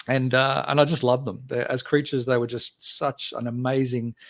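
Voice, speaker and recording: At a very fast pace, a man speaks in a flat monotone at a medium pitch. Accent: Australian. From Australia, Gold Coast. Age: 50s. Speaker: game company founder and writer. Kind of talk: casual interview chat. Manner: hesitant with many fillers.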